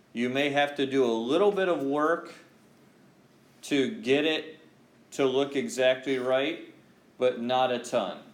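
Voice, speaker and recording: A man talks at a very slow pace. Noticeable background noise and audible room echo surround his voice. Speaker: high school math teacher. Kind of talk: classroom lecture. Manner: slow, deliberate.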